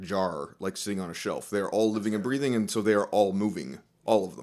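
A man speaks with ordinary pitch variation in a plain, everyday voice. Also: very clean recording, silent background. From US South. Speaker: professor of linguistics. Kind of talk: interview.

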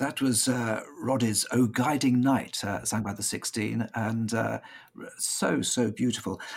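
Over noticeable background noise, a man with a British accent speaks at a fairly slow pace, his medium pitch carrying fairly even intonation. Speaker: choir director. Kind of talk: casual chat. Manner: halting.

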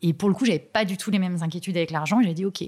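Her tone is dark and mellow, as this woman speaks somewhat breathily at a fairly low pitch. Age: 30s. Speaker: hairdresser sharing her personal money story. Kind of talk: personal testimony in interview. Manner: halting, many hesitations and repetitions.

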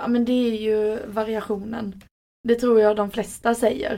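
The voice has a dark, mellow tone. Its intonation is fairly even, at a moderate pace. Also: woman. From southern Sweden, Skåne (near Helsingborg). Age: 20s. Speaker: ambulance nurse. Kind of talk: casual interview.

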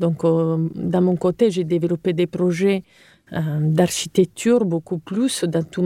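On a very clean recording with a silent background, a woman with an Italian accent speaks very slowly at a fairly low pitch, her tone dark and mellow and the sound dry and close with no echo. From Sardinia, Italy (Cagliari). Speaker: architect. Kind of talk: interview.

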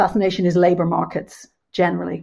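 In a very clean recording with a silent background, a woman with a fairly low pitch and vocal fry talks at a moderate pace. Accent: Irish. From Ireland, Dublin. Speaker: economic historian. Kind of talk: panel discussion.

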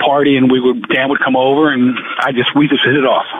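A man with a New Jersey accent, medium pitch and a moderate pace. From New Jersey, Jersey Shore. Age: 60s. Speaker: sports bettor, podcast co-host. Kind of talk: casual chat. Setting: in a car.

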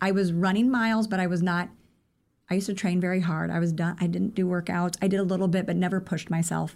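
Speaking very fast with fairly even intonation, a woman with a Midwestern US accent and medium pitch is heard in a very clean recording with a silent background. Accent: US Midwest. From Iowa. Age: 40s. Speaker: running coach. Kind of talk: interview.

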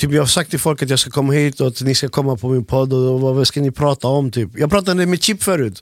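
A man with an unremarkable speaking voice, fairly high in pitch, at a fairly quick pace with hardly any pauses, ordinary pitch variation and very even loudness. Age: 30s. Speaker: podcast host and music producer. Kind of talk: casual chat.

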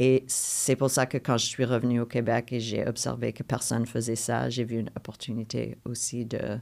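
A woman with an English accent speaks at a fairly slow pace in a monotone, flat voice with vocal fry. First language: English (speaking French). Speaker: playwright. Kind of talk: interview conversation. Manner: halting with repetitions.

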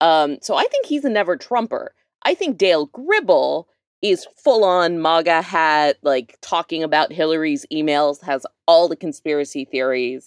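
A plain, everyday voice from a woman, fairly low in pitch, with lively intonation at a moderate pace. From North Texas, Dallas suburbs. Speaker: activist, advocacy group co-founder. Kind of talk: casual chat.

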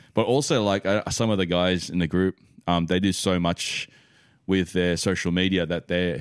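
With an Australian accent, a man speaks at a moderate pace in a very deep, low pitch, his intonation fairly even and his loudness very even, on a very clean recording with a silent background. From Australia, western Sydney. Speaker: podcast guest, sneaker collector. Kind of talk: casual chat.

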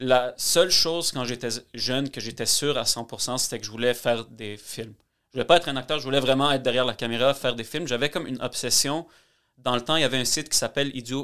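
A man with an ordinary speaking voice talks at a fairly quick pace, his medium pitch held in fairly even intonation. The recording is very clean, with a silent background. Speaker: mortgage broker. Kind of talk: casual chat.

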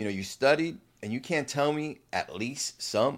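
A man with a New Jersey accent at a fairly high pitch, very wide pitch swings and a fairly slow pace, in a very clean recording with a silent background. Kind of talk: casual interview chat. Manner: animated, enthusiastic.

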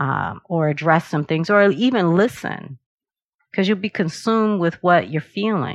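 Speaking at a fairly slow pace, a woman uses a plain, everyday voice pitched fairly low. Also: ordinary pitch variation. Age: 50s. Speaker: meditation and yoga teacher. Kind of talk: interview.

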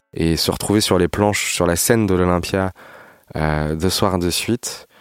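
The recording is dry and close, with no echo. A man with a very deep, low pitch speaks fairly slowly with fairly even intonation. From Paris region, France. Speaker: musician. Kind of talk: personal storytelling. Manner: hesitant, many fillers.

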